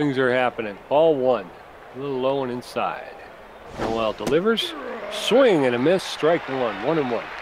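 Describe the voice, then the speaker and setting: A man at a medium pitch varies it in an ordinary way while noticeable background noise carries on. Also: moderate pace. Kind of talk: sports commentary. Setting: video game let's play.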